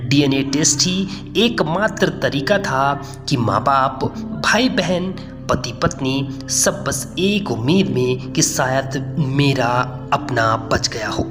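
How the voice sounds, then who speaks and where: With music in the background, a man talks at a fairly high pitch with ordinary pitch variation. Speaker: YouTube narrator. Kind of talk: dramatic news story voiceover narration.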